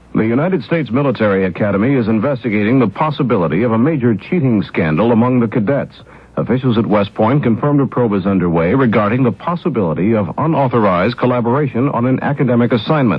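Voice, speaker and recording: With an American accent, a man talks at a very fast pace and a medium pitch, with lively intonation and very even loudness over noticeable background noise. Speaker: radio news anchor. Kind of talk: radio news bulletin read. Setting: 1970s radio broadcast recording.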